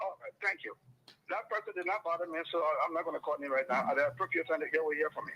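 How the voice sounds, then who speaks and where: Noticeable background noise accompanies a man who speaks very fast. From Liberia. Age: 70s. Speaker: political commentator. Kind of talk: radio talk show debate. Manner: animated.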